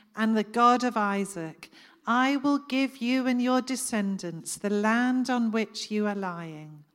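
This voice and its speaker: Here a woman speaks at a fairly high pitch with ordinary pitch variation. The recording is very clean, with a silent background. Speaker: preacher. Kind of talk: sermon. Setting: church gathering with audience. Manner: calm, reflective, prayerful.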